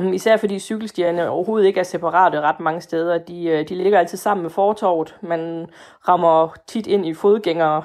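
With a fairly low pitch, a woman speaks at a moderate pace. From Denmark, Fænø. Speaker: voter. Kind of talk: interview. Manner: hesitant.

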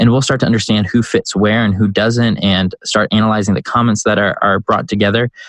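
A man with an American accent talks in a plain, everyday voice, fairly low in pitch, at a fairly quick pace with hardly any pauses. His intonation is fairly even, his loudness very even, and the sound dry and close with no echo. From US Midwest, Chicago. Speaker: startup CEO and entrepreneur. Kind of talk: interview.

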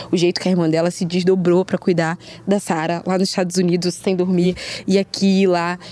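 The woman talks at a fairly quick pace in a fairly low pitch. Her intonation is monotone and flat. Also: very even loudness. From Rio de Janeiro, Brazil. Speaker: guest, friend of guest. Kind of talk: casual chat.

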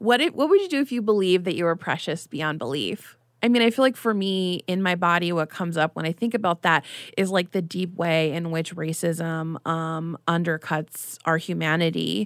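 An unremarkable speaking voice from a woman, fairly low in pitch with ordinary pitch variation, at a moderate pace, in a very clean recording with a silent background and a dry, close sound with no echo. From US, child of Mexican immigrants. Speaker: writer and body image activist. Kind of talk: casual chat.

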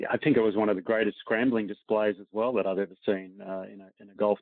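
A man in an Australian accent, fairly low-pitched and monotone with flat intonation, at a very fast pace. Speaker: professional golfer. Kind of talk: casual interview chat.

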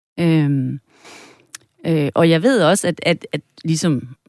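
Dry and close with no echo, a woman's very deep, low voice comes through on a very clean recording with a silent background. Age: 50s. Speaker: psychotherapist and tantra masseuse. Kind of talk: interview conversation.

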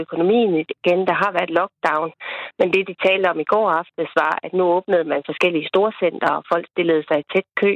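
A woman with a plain, everyday voice, fairly low pitch, fairly even intonation and a fairly quick pace. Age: 40s. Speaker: farmer household, caller. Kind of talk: phone interview. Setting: phone call.

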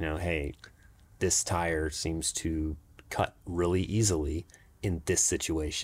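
A man with an American accent, very deep and low in pitch, somewhat breathy, flat and monotone, at a very slow pace. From Jacksonville, Florida. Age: 40s. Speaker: mountain bike racer. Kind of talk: casual interview.

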